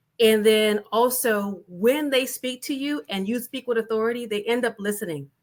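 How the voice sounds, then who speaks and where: A woman speaks with a slight Southern US accent at a fairly high pitch. She shows ordinary pitch variation and hardly any pauses. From US South. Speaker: panelist, business leader. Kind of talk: panel discussion. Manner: fast.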